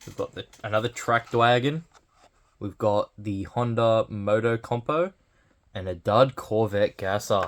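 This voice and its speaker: Over a very clean recording with a silent background, a man talks in a normal speaking voice at a fairly slow pace. His medium pitch has ordinary variation, while his loudness swings widely. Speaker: toy collector unboxing channel host. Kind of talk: unboxing commentary.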